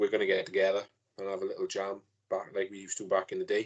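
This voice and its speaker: A man speaks with a Welsh accent. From Wales. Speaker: fan page owner, podcast guest. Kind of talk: casual chat.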